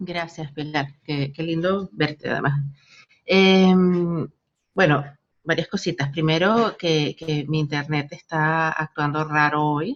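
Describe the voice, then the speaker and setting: Very slowly and with fairly even intonation, a woman speaks in a very deep, low voice. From Venezuela. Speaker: digital rights lawyer and policy analyst. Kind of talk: online lecture. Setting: video call.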